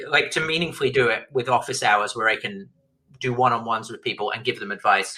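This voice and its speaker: This man has a British accent. He talks at a very fast pace. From Britain. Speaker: author and former tech journalist. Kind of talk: podcast interview. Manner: animated, with frequent repetitions and restarts.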